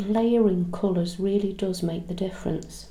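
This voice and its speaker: A soft-spoken woman with a medium pitch talks at a moderate pace in fairly even intonation, with audible room echo around her. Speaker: craft tutorial maker. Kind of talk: tutorial.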